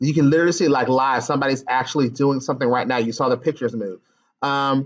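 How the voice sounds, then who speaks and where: This man talks very fast, and the background is quiet. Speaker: teacher trainer. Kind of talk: tutorial. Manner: hesitant fillers.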